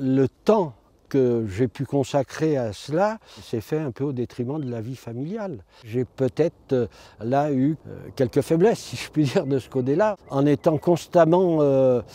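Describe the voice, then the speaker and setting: Using a dark, mellow tone, a man with a fairly high voice speaks at a fairly slow pace with big swings in loudness. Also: lively intonation, dry, close sound with no echo. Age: 80s+. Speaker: retired activist and former mayor. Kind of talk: interview testimony. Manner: halting.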